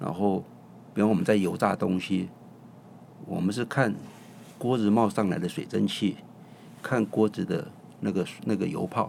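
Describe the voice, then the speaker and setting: Vocal fry runs through a man's fairly low-pitched voice at a moderate pace. He uses ordinary pitch variation and long, frequent pauses. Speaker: chef and restaurant owner. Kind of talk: casual interview.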